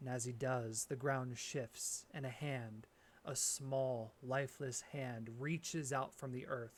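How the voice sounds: Delivered in a natural reading voice, the words follow fairly even intonation.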